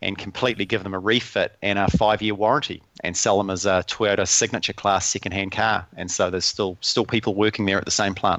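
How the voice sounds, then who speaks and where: A fairly low-pitched man in a New Zealand accent, very fast, with hardly any pauses and monotone, flat intonation. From New Zealand, small town. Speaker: lean and learning consultant. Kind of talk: podcast interview.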